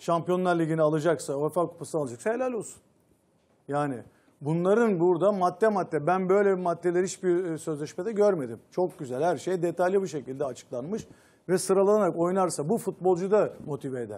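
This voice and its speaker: Speaking at a fairly quick pace, a man with a high pitch and a dark, mellow tone shows ordinary pitch variation. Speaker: football pundit. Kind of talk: panel discussion. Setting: studio. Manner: animated. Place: studio. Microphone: lapel.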